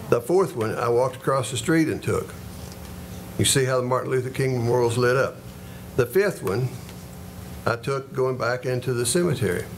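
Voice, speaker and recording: A man with a western Kentucky accent talks at a fairly quick pace, leaving long, frequent pauses. His pitch is medium, with ordinary variation. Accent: western Kentucky Southern US. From western Kentucky, Paducah area. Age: 70s. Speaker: retired schoolteacher speaking at public comment. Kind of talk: public comment at city meeting. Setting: city commission meeting. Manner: halting, with frequent fillers.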